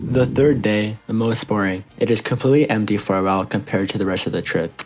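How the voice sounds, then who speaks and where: A man with a fairly low pitch is heard over noticeable background noise. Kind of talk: mock travel infomercial read.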